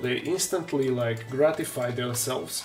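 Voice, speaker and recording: Noticeable background noise sits behind a man with a Slovak accent whose pitch varies in an ordinary way. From Slovakia. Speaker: terrain maker and miniature painter streamer. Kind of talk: casual live-stream chat.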